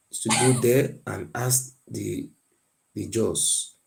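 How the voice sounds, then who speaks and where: A man speaks at medium pitch with vocal fry. His tone is dark and mellow. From Nigeria, Benin area. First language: not English. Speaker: guest on a history debate. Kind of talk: heated debate. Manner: insistent, repetitive.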